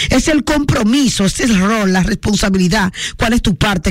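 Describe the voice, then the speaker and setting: With an animated tone and lively intonation, a woman talks at a moderate pace and fairly high pitch. Her voice is somewhat breathy, with a dry, close sound with no echo. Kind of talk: radio call-in show with prayer.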